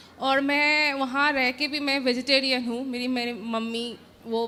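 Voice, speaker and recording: A woman speaks with a Bengali accent at a high pitch. Her tone is bright and sharp, and her intonation is monotone and flat. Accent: Bengali accent in Hindi. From West Bengal, India. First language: Bengali (speaking Hindi). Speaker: audience member asking a question. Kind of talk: question to a guru.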